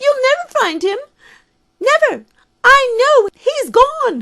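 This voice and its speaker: A woman puts on a squeaky character voice at an extremely high pitch, with lively intonation and a fairly slow pace. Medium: audio drama. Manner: disjointed, repeating herself.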